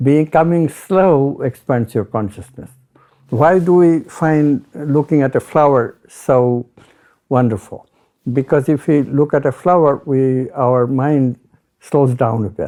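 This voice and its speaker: Speaking in an Indian accent, a man has a medium pitch, a dark, mellow tone, ordinary pitch variation and a fairly slow pace. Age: old. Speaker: retired physics professor. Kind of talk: interview.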